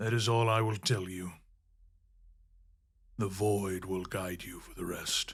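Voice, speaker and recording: Using a put-on character voice, a man speaks at a fairly slow pace with a fairly low pitch and monotone, flat intonation. His loudness swings widely, and he leaves long, frequent pauses. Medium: read story. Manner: grave, formal.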